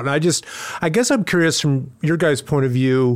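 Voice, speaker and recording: Here a man talks at a fairly quick pace in a fairly high voice with lively intonation. He has an ordinary speaking voice. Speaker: podcast host and retail executive. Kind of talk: interview.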